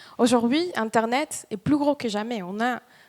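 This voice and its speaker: A woman speaks at a fairly high pitch with a slight Spanish accent. Her intonation is lively. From Dominican Republic. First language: Spanish (speaking French). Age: 30s. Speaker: startup employee. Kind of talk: motivational talk. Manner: halting.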